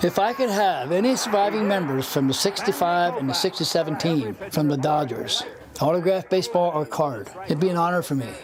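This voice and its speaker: The voice moves at a fairly quick pace with lively intonation and very even loudness. Noticeable background noise runs underneath. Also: man, high pitch for a man. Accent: American. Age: 70s. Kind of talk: interview answer.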